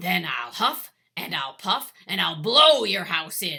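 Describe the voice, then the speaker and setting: A growling, put-on character voice. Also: woman, fairly low pitch for a woman, fairly slow pace. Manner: shouting.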